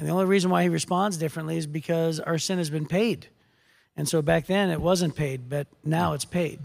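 An ordinary speaking voice, a man's fairly high pitch with an American accent at a fairly quick pace, on a very clean recording with a silent background. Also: fairly even intonation. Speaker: podcast host and pastor. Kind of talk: casual devotional chat about Bible. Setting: studio.

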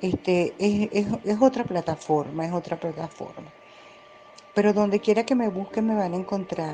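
A woman's calm voice at a moderate pace, with ordinary pitch variation and noticeable background noise. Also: medium pitch for a woman. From Colombia, Medellín. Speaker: real estate agent and social media writer. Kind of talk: interview.

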